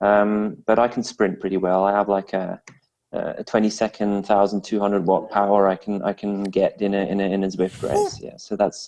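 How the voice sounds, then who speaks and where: A man speaks at a moderate pace in a Swiss French accent, his fairly low voice held to a monotone, flat intonation. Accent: Swiss French-tinged English. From Switzerland, French-speaking part, English mother. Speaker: amateur and esports cyclist. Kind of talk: interview. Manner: halting, many repeats and fillers.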